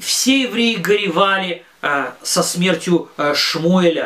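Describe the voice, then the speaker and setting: Noticeable background noise under a man's very slow delivery. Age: 40s. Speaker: religious teacher for children. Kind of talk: lesson. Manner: halting, with many filler sounds.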